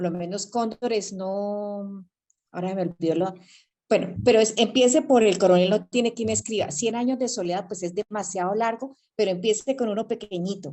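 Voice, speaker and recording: In an unremarkable speaking voice, a woman talks at a moderate pace with a medium pitch and ordinary pitch variation. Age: 60s. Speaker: reading club participant, retiree. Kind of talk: casual group discussion. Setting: video call by cell phone, camera off.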